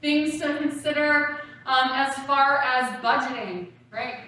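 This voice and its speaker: A woman's raised, projected voice, animated and bright and sharp in tone, carries audible room echo. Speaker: university academic support director. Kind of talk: presentation to prospective students. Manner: loud.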